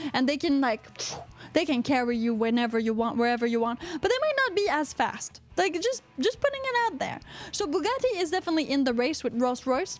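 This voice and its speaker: Over noticeable background noise, a woman with a strong Quebec accent talks at a fairly quick pace in a high, animated voice, her pitch swinging very widely while her loudness stays very even. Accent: thick Quebecois. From Quebec, Canada. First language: French. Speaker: podcast host. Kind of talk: casual chat.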